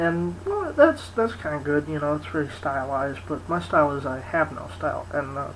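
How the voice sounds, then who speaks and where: The speaker mumbles at a moderate pace with hardly any pauses. Noticeable background noise runs underneath. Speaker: video blogger. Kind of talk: casual vlog monologue. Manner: mumbling, rambling; halting, many fillers.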